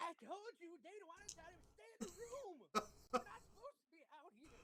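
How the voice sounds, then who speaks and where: Pitched extremely high, this put-on character voice moves at a moderate pace with very wide pitch swings. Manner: cranky, complaining.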